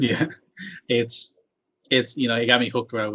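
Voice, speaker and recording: A man with a Mexican accent, talking at a very fast pace. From Mexico. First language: Spanish. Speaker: podcast host. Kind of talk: interview.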